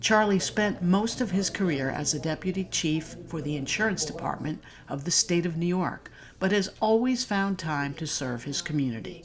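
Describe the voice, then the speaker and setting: At a moderate pace, the speaker uses lively intonation in a normal speaking voice. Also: woman, fairly low pitch for a woman. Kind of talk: news feature narration.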